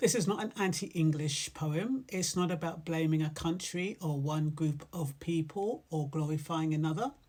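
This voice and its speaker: Somewhat breathy, a woman speaks with a fairly low pitch. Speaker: poet. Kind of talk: casual talk introducing a poem.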